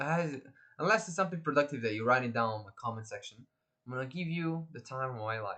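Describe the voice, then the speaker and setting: A man's fairly high voice with a bright, sharp tone, lively intonation and a fairly quick pace. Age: 20s. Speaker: vlogger. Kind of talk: casual monologue. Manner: fast; halting, repeats words.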